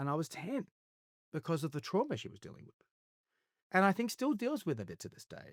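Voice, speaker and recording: Very wide pitch swings and long, frequent pauses mark this fairly quick delivery with an Australian accent. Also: man, high pitch for a man, dry, close sound with no echo. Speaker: actor, singer, television presenter. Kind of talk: interview answer. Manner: candid, reflective.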